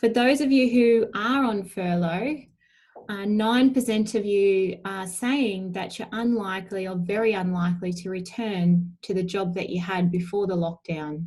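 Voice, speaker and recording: Somewhat breathy, a woman speaks at a fairly slow pace with a medium pitch and ordinary pitch variation. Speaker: allied health professional presenting a webinar. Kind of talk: webinar presentation. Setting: webinar.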